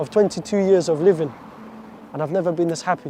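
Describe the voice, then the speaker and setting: A man with an Arabic accent speaks at a very fast pace in a high pitch. Noticeable background noise is present. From Iraq, raised in the UK from age seven. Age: 20s. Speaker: convert story speaker. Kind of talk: testimony. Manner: halting, repeats words.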